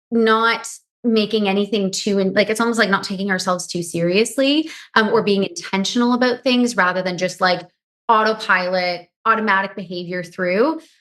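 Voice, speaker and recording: With ordinary pitch variation, a woman speaks at medium pitch in a quiet background. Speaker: nutritionist and hypnotherapist. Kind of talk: podcast interview. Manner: fast.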